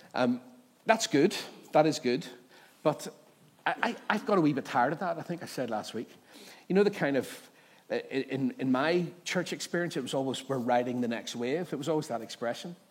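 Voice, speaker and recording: This voice has a Northern Irish accent and lively intonation. The pace is moderate, with long, frequent pauses. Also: man, fairly high pitch for a man. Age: 30s. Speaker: pastor. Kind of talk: sermon. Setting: church.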